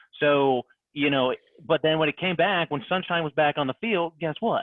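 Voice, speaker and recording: Speaking fairly quickly, a man talks in an American accent. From Ohio. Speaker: sports fan guest. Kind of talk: casual podcast chat. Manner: animated.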